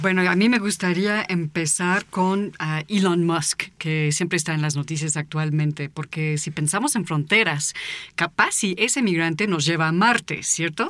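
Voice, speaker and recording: A woman's fairly low voice at a fairly slow pace, with ordinary pitch variation, hardly any pauses, and noticeable background noise. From United States. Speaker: author and visual artist. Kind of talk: casual chat.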